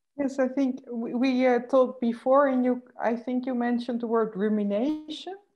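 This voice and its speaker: Barely pausing, a woman with a Dutch accent speaks at a high pitch with fairly even intonation. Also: moderate pace. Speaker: moderator. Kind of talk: interview conversation. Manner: halting.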